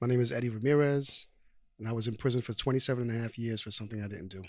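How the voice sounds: Speaking at a very fast pace, a man with a medium-pitched voice keeps his intonation fairly even.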